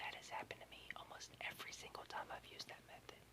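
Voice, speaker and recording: A man whispering. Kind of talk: guided relaxation and sleep tips, ASMR. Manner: casual, conversational, soft-spoken.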